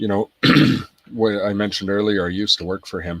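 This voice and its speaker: With a slight Irish accent, a man speaks in a fairly low pitch and fairly even intonation, the sound dry and close with no echo. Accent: slight Irish twang. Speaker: podcast guest, business owner. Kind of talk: casual interview chat. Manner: hesitant, many fillers.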